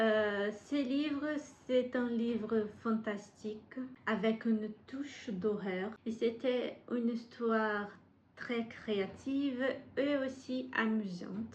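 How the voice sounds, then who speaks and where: In a Brazilian accent, a woman speaks at a very slow pace with a fairly high, somewhat breathy voice and audible room echo. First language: Portuguese (speaking French). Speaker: book vlogger. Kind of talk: casual vlog monologue. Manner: halting, frequent hesitations.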